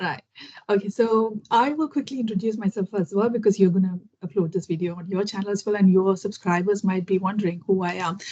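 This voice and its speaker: The voice is somewhat breathy, with a dark, mellow tone. It moves at a very fast pace with ordinary pitch variation. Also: woman, medium pitch for a woman. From India, Kerala. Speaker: English learning YouTuber. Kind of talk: interview conversation.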